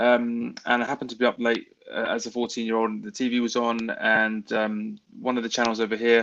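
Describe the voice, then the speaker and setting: Against a quiet background, a man with a British accent speaks at medium pitch and a moderate pace in a monotone, flat intonation. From England. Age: 30s. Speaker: baseball fan. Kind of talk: podcast interview.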